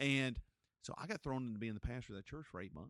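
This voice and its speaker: Animated in tone, a man with a North Carolina accent talks at medium pitch with lively intonation. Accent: Southern US (North Carolina). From Gaston County, North Carolina. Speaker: pastor and podcast host. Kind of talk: interview conversation.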